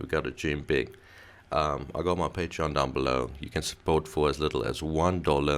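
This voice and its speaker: Very deep, low male voice with vocal fry, fairly even intonation and a moderate pace. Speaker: YouTube commentator. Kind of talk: casual channel plug. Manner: low energy.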